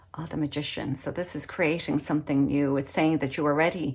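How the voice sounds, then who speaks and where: A woman speaks at a fairly quick pace with an Irish accent and a very deep, low pitch. The recording is very clean against a silent background. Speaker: tarot reader. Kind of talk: tarot reading.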